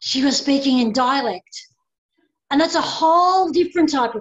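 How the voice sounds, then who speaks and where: Speech comes at a moderate tempo with an Australian accent. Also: woman. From Australia, Maltese heritage. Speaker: pastoral care worker, nun. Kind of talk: casual chat.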